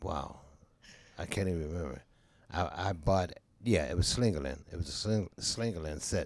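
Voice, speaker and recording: A man speaks with a very deep, low pitch and vocal fry. His pitch varies in an ordinary way, and he leaves long, frequent pauses. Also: moderate pace. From Pittsburgh. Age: 70s. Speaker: jazz drummer. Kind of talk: interview. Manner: halting.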